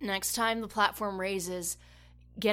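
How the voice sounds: The natural reading voice keeps to a fairly even intonation.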